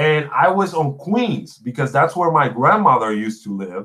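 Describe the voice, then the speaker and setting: A man with a Spanish accent speaks at a moderate pace in a fairly high pitch. His bright, sharp tone moves through very wide pitch swings. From Puerto Rico. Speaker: gaming podcast host. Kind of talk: casual chat. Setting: livestream.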